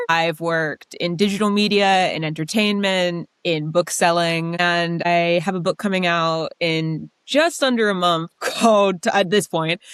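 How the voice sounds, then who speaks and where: With an American accent and an ordinary speaking voice, a woman talks at a fairly slow pace and fairly low pitch, her intonation fairly even, in a dry, close sound with no echo. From United States. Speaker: novelist. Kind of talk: interview.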